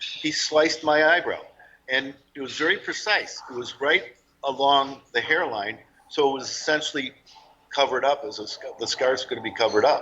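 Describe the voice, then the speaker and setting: An unremarkable speaking voice from a man, fairly high in pitch, at a moderate pace with ordinary pitch variation and big swings in loudness. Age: 60s. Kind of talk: interview testimony.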